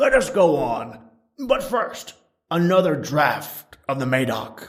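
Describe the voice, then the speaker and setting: Putting on a character voice, a man speaks raspy and high-pitched at a fairly slow pace. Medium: read story.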